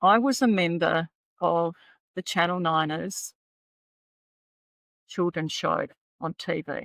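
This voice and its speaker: A woman with an Australian accent and a fairly low pitch speaks at a very slow pace with long, frequent pauses in a dry, close sound with no echo. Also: ordinary pitch variation. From Australia, Adelaide. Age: 70s. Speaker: private pilot and author. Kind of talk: interview storytelling.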